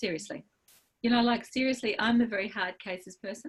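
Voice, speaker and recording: A woman speaks fairly quickly in a fairly high, somewhat breathy voice with lively intonation. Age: 60s. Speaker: birth and fertility practitioner, acupuncture teacher. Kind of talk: interview.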